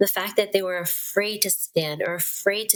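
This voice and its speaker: A woman with a Western Pennsylvania accent speaks at a medium pitch. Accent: American, Western Pennsylvania. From Pittsburgh, Pennsylvania. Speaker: certified nurse-midwife. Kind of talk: podcast interview answer.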